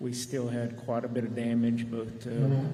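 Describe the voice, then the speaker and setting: A soft-spoken man with a Texan accent talks at a moderate pace and medium pitch. Audible room echo and noticeable background noise are present. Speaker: county judge. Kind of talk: testimony. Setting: public legislative hearing.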